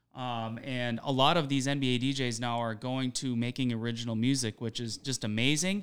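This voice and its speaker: A man with a plain, everyday voice talks at a fairly quick pace, his medium pitch held in fairly even intonation. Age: 40s. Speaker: DJ. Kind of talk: casual chat.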